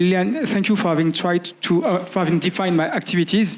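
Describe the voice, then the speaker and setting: Very fast and fairly even in intonation, a man with a French accent speaks at a high pitch over noticeable background noise. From France, Paris. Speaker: activist and network organizer. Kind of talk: panel discussion. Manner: halting, many fillers.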